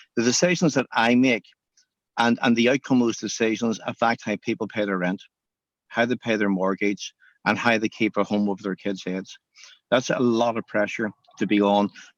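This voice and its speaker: Against a quiet background, a man with a Northern Irish accent speaks at medium pitch and a moderate pace, with fairly even intonation and a dry, close sound with no echo. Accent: Northern Irish (Belfast). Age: 60s. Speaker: cinema chain owner, entrepreneur. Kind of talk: interview.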